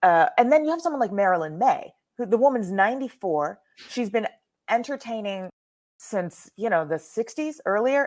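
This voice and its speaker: With an animated tone and very wide pitch swings, a woman with a fairly high pitch speaks at a moderate pace. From Texas. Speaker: cabaret performer and writer. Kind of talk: casual interview chat.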